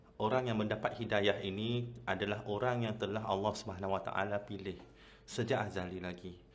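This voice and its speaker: With audible room echo, a man speaks at a fairly low pitch. His pace is fairly quick and his intonation monotone and flat. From Malaysia, Kedah. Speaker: Islamic convert preacher, channel host. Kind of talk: personal testimony talk. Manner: hesitant, many fillers.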